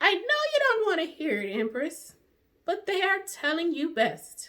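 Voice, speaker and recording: A woman puts on a squeaky character voice at an extremely high pitch, swinging very widely in pitch at a moderate pace. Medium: read story. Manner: gentle, reassuring.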